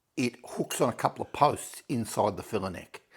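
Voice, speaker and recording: The voice belongs to a man. He talks at a moderate speed. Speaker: motorcycle restorer, video maker. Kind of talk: workshop tutorial. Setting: shed. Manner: loud. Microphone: no microphone, shouting.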